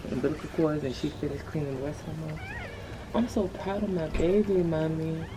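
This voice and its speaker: Amid audible room echo and noticeable background noise, a woman with a very deep, low pitch talks at a fairly quick pace with ordinary pitch variation. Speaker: lifestyle vlogger. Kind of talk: casual vlog. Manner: whispering.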